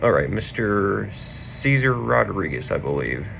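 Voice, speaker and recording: A man's strained, very slow speech amid noticeable background noise. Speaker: car enthusiast YouTuber. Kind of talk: casual comedic roast commentary. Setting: hotel room. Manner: restrained volume. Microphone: laptop recording, echo.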